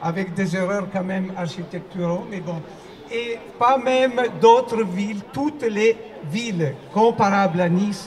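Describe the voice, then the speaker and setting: A man with an Italian accent, high-pitched, at a very slow pace with ordinary pitch variation, audible room echo and noticeable background noise. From Italy. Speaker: opera performer. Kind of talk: public speech at rally. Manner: halting.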